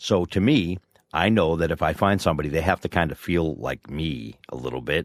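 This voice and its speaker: Recorded with a dry, close sound with no echo and a very clean, silent background, a man talks at a fairly quick pace in a very deep, low pitch with vocal fry and ordinary pitch variation. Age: 50s. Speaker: podcast co-host. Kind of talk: casual chat.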